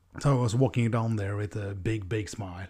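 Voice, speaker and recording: A man with a Norwegian accent speaks at a moderate pace, his pitch fairly low and his intonation fairly even. His tone is dark, mellow and somewhat breathy, on a very clean recording with a silent background. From Norway. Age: 30s. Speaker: podcast host. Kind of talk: monologue podcast. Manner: halting, many fillers.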